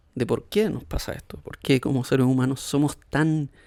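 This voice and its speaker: This soft-spoken man has a medium pitch and ordinary pitch variation. He keeps a moderate pace. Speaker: podcast host. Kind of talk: casual reflective monologue. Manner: soft-spoken, quiet; relaxed, hesitant fillers.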